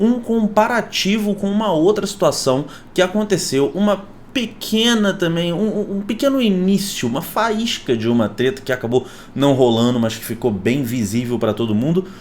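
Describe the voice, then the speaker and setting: A man's animated voice at a moderate pace, high in pitch, with very wide pitch swings. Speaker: YouTuber. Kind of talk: casual vlog commentary.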